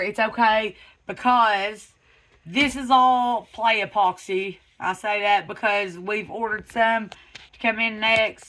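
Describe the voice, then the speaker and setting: A woman with a Southern US accent has a fairly high pitch and a bright, sharp tone. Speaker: truck customizer YouTuber. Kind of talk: casual vlog. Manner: animated; stammering.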